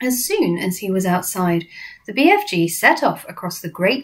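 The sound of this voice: An unforced reading voice is what's heard here.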